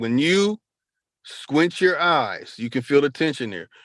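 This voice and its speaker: This man speaks at a moderate pace with lively intonation, in a plain, everyday voice. The sound is dry and close with no echo, over a quiet background. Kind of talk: live-stream talk with screen share.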